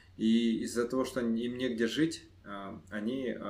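A man talks at a medium pitch with fairly even intonation. Audible room echo surrounds his voice. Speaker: entrepreneur. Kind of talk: podcast interview.

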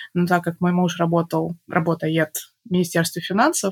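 A woman speaks at a moderate pace with a fairly low pitch and a plain, everyday voice. The sound is dry and close, with no echo. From Belarus, Minsk. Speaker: mother and podcast guest. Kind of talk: casual interview.

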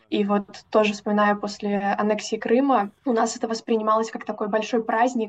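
Her voice fairly high in pitch and flat and monotone in intonation, a woman speaks at a moderate pace. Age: 20s. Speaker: teaching graduate. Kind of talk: interview testimony.

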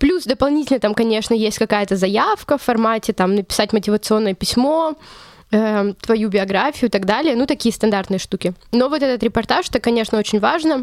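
At a fairly quick pace, a woman with an unremarkable speaking voice talks at a fairly high pitch, her loudness very even and her pitch variation ordinary. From Russia, Chelyabinsk. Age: 20s. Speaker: journalism student. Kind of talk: interview.

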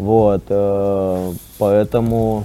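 A man talks in an ordinary speaking voice, fairly low in pitch, with fairly even intonation. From Russia, Arkhangelsk. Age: 30s. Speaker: startup co-founder. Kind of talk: podcast interview.

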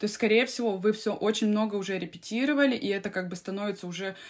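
A woman with a normal speaking voice at a medium pitch, ordinary pitch variation and a fairly quick pace, on a very clean recording with a silent background. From Siberia, Russia. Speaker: opera singer and vocal coach. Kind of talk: casual interview.

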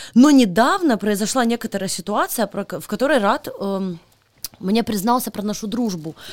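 At a moderate pace, a woman speaks with a fairly high pitch, an animated tone and lively intonation. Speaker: podcast host. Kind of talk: casual chat.

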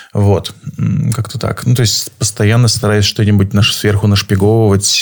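A man speaks at a fairly low pitch and a moderate pace. He has a plain, everyday voice. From Saint Petersburg, Russia. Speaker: photographer. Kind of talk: casual interview. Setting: live stream.

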